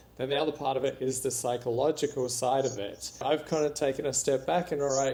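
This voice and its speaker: With a strong Australian accent, a man talks at a fairly quick pace with hardly any pauses, his dark, mellow tone held to fairly even intonation. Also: medium pitch for a man. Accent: Australian accent, still strong. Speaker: entrepreneur and author. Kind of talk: interview.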